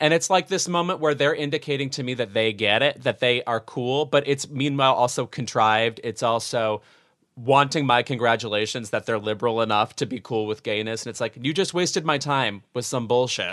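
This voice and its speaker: An unremarkable speaking voice belongs to a man of medium pitch with ordinary pitch variation. He talks at a fairly quick pace with hardly any pauses against a quiet background. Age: 30s. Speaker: podcast co-host. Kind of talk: casual chat. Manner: theatrical.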